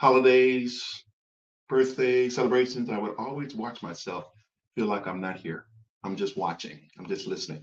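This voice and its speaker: Someone with an unremarkable speaking voice and an American accent talks at a moderate pace, with ordinary pitch variation and big swings in loudness. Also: man, medium pitch for a man. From US Midwest, Chicago. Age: 60s. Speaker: fatherhood coach. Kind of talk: livestream monologue. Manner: reflective.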